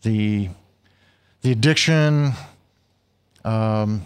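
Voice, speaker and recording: Ordinary pitch variation marks the delivery. The speaker is male. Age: 50s. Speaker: recovering addict telling his story. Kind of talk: testimony. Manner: halting, with many repeated words.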